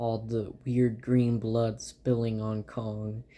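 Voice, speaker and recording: Very slowly, a man speaks in a dark, mellow tone at a fairly low pitch. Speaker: movie reviewer on own channel. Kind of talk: casual monologue review. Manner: halting, filler-heavy.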